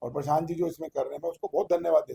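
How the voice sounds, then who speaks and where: A man's high-pitched voice, dark and mellow in tone, with ordinary pitch variation and a dry, close sound free of echo. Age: 70s. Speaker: charity event organizer. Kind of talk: interview. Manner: rambling, hesitant.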